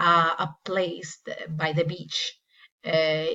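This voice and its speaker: Speaking very slowly with a Spanish accent, the woman has a fairly low pitch. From Peru. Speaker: English teacher. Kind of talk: casual travel vlog narration. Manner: hesitant with many fillers.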